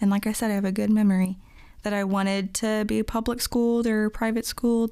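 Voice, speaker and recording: A woman talks at a fairly quick pace in a fairly high voice with a dark, mellow tone and flat, monotone intonation. The recording is very clean, with a silent background. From Virginia, near Washington DC. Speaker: young adult church member. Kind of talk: casual interview.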